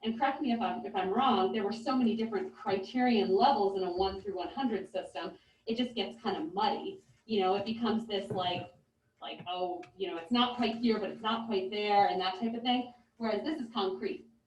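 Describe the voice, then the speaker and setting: A woman's fairly quick delivery with ordinary pitch variation. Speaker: music teacher. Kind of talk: presentation to school board. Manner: loud.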